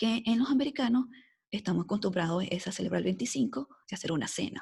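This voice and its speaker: Her medium-pitched voice races at a very fast pace, animated in tone and lively in intonation, with vocal fry running through it. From Venezuela (Caracas). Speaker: epidemiologist. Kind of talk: podcast interview.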